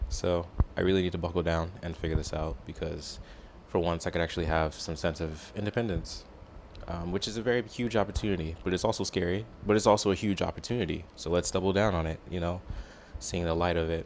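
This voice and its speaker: Talking at a very fast pace, this man has a very deep, low voice with ordinary pitch variation. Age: 20s. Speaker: vlogger. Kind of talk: casual personal vlog monologue. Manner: hesitant, many fillers.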